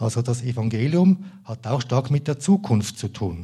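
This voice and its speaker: In a dark, mellow tone, a man talks at a fairly slow pace with a somewhat breathy, medium-pitched voice and lively intonation. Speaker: lay preacher. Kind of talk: sermon.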